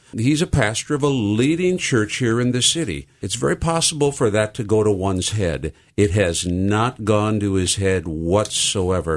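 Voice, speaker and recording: Speaking at a moderate pace, a man with a fairly low pitch makes very wide pitch swings. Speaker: pastor. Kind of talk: radio interview. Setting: studio. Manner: loud.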